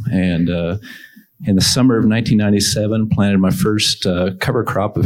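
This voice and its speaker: A man with an American accent speaks at a fairly slow pace and a fairly low pitch. It is a plain, everyday voice with ordinary pitch variation. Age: 50s. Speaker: farmer. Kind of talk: panel discussion.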